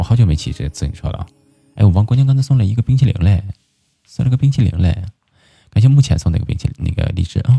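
A man with a slight northeastern Chinese accent talks at a very fast pace yet leaves long, frequent pauses, his intonation lively. His voice is fairly low, somewhat breathy, with a dark, mellow tone. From Inner Mongolia. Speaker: live stream host. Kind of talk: casual chat. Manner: animated.

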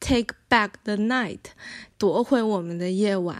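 Over a very clean recording with a silent background, a woman uses a plain, everyday voice at a fairly high pitch with ordinary pitch variation. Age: 30s. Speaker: filmmaker and university staff. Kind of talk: interview conversation.

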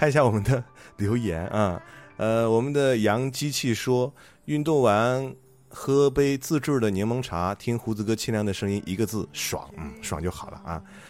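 Music plays in the background. Over it, a man with a medium pitch talks at a moderate pace with lively intonation. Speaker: radio host. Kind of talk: live radio show chat. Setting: live broadcast with calls. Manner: chatty, animated.

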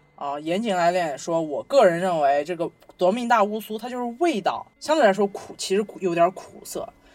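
A woman at medium pitch, moderate pace and lively intonation, with big swings in loudness, hardly any pauses, and music in the background. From Xinjiang, China. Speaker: podcast co-host. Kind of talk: casual chat.

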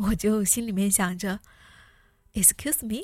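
A woman at medium pitch, somewhat breathy, with ordinary pitch variation, on a very clean recording with a silent background. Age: 30s. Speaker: podcast host. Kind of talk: personal essay narration.

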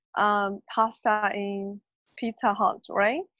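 A woman with a slight Australian accent at a very slow pace, in a dry, close sound with no echo. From Inner Mongolia, China. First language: Mandarin. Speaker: podcast co-host. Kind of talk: casual chat. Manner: giggly.

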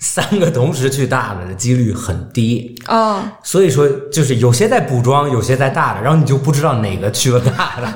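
Over noticeable background noise and audible room echo, a man speaks at a moderate pace in a medium pitch with lively intonation and hardly any pauses. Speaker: podcast co-host. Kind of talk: casual chat. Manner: talkative.

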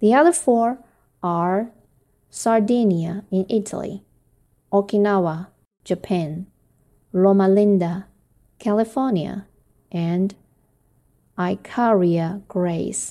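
A woman speaks at a very slow pace with a Chinese accent and long, frequent pauses. Her voice is medium-pitched, dark and mellow, on a very clean recording with a silent background. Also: ordinary pitch variation. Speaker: English learner and homeschooling parent. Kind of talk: reading aloud; casual intro. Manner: careful pronunciation.

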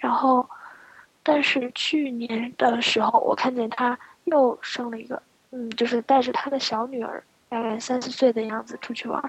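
A woman with a high pitch talks in a monotone, flat intonation at a moderate pace. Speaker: podcast co-host. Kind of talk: casual chat. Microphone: laggy connection.

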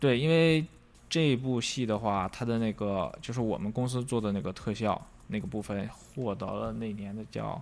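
A man with a plain, everyday voice, fairly low in pitch with ordinary variation, at a moderate pace. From Northeast China. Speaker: visual effects compositor. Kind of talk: casual interview chat.

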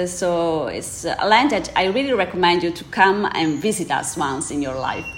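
With an Italian accent, a woman at a medium pitch speaks at a moderate pace over noticeable background noise. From Italy, Veneto (Prosecco region). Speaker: wine trade representative. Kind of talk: interview. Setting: studio.

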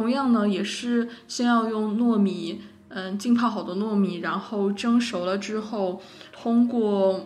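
A woman's fairly high voice at a fairly slow pace and fairly even intonation, with noticeable background noise and audible room echo. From China, Wuhan. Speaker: podcast co-host. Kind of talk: casual chat.

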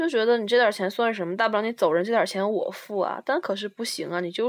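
A woman's fairly high, plain, everyday voice at a fairly quick pace, with ordinary pitch variation, in a very clean recording with a silent background and a dry, close sound with no echo. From Liaoning, northeast China (Shenyang). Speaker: international student. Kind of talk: casual chat. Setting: at home, drinking beer.

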